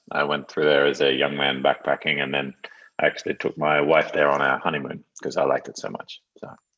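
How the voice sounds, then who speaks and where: This man's voice is very deep and low in pitch. His intonation is flat and monotone. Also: fairly quick pace. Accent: Australian. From northeastern Australia, Townsville. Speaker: tech product director. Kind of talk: live Q&A.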